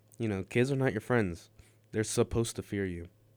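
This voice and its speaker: A man's fairly low pitch, an ordinary speaking voice, on a very clean recording with a silent background. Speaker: college radio host. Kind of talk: casual chat. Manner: deadpan.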